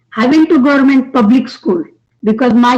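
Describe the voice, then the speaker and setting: Ordinary pitch variation, in an Indian accent. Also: woman. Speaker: audience member asking a question. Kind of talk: audience question. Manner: halting.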